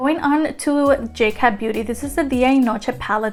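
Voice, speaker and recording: Noticeable background noise sits behind the recording. A woman with a high pitch speaks in fairly even intonation. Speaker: beauty youtuber. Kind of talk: product review. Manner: fast; casual, many fillers.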